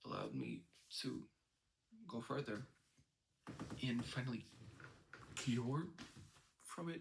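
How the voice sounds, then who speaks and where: With vocal fry and a medium pitch, a man speaks at a fairly slow pace, leaving long, frequent pauses, with ordinary pitch variation. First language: not English. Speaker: vlogger sharing personal experience. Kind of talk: personal monologue. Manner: halting, many fillers.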